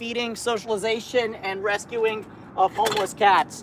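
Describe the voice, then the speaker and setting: An extremely high-pitched man over noticeable background noise. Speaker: cat rescue livestreamer. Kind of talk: live stream chat. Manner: halting, repeats words.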